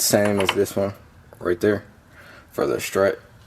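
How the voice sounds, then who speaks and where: Noticeable background noise accompanies very slow speech. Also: man. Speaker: car mechanic YouTuber. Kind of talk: tutorial. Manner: casual, halting with fillers.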